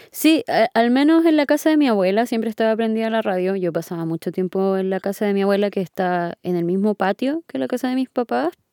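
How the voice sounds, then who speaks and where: Talking at a fairly quick pace with hardly any pauses, a woman with a dark, mellow tone and very wide pitch swings comes through on a very clean, dry, close recording with no echo and a silent background. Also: medium pitch for a woman. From Chile, Punta Arenas. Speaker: audio engineer and music producer. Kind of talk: interview.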